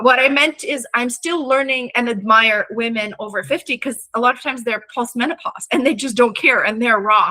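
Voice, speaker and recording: A high-pitched woman at a moderate pace with hardly any pauses, over noticeable background noise. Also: ordinary pitch variation. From Russian Far East (Vladivostok). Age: 40s. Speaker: artist and craft teacher. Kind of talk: interview conversation.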